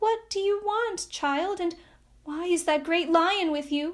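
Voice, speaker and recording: In a squeaky, put-on character voice at an extremely high pitch, a woman speaks at a fairly slow pace on a very clean recording with a silent background. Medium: read story.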